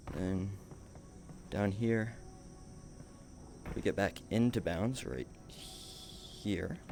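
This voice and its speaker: A man's fairly low voice with ordinary pitch variation, a very slow pace and long, frequent pauses, over music in the background. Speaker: speedrunner streamer. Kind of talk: live gameplay commentary.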